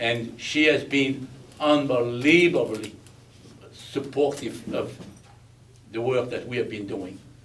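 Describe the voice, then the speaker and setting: In a room with audible echo, a man with a Belgian accent speaks at a very slow pace with long, frequent pauses, medium pitch, and ordinary pitch variation. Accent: Belgian, foreign. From Belgium. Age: 80s+. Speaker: war veteran and speaker. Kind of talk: speech at a veterans event.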